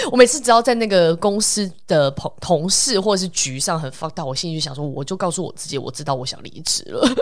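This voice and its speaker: A woman with a fairly low voice talks at a fairly quick pace, her pitch swinging very widely. Her loudness rises and falls sharply, and background noise is noticeable. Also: hardly any pauses. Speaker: podcast host. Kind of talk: casual chat.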